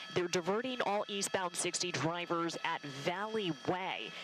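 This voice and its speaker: A woman speaks in an excited tone with music in the background. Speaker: television reporter and helicopter photojournalist. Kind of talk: live aerial news commentary from a helicopter. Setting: helicopter. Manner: fast, excited, urgent.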